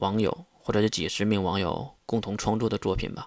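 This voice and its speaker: On a very clean recording with a silent background and a dry, close sound with no echo, a man speaks at a moderate pace and medium pitch. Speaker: novel podcaster. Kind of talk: storytelling monologue. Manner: unedited single take.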